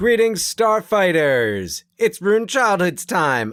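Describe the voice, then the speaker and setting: The speaker uses a put-on character voice at a middle pitch. The pace is fairly slow, and the recording is very clean with a silent background. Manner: exuberant announcer.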